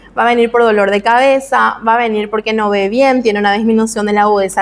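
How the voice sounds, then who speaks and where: A woman's voice over noticeable background noise. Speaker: medical lecturer. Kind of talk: lecture.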